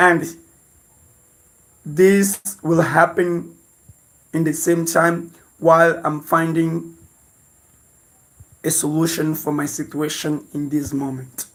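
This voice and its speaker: The speaker has a non-native accent and talks at a very slow pace in a monotone, flat intonation, with long, frequent pauses. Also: man, fairly high pitch for a man. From Mozambique. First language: Portuguese. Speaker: lifestyle vlogger. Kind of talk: livestream chat. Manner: halting.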